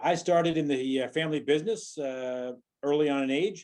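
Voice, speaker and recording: Lively in intonation, a man with a fairly high pitch speaks in a dark, mellow tone. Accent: American. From US Midwest, Rock Island, Illinois. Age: 60s. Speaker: mayoral candidate. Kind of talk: political forum statement. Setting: online forum.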